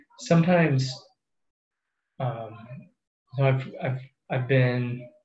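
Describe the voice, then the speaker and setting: Somewhat breathy speech with an American accent comes at a fairly slow pace. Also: man. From US Midwest, central Iowa. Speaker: water resources engineer. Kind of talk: interview.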